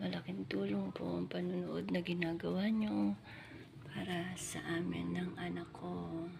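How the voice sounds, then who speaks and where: Amid noticeable background noise and audible room echo, a woman talks slowly, at a fairly slow pace, her very deep, low pitch making very wide swings. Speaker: vlogger and domestic worker. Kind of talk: casual vlog walkthrough.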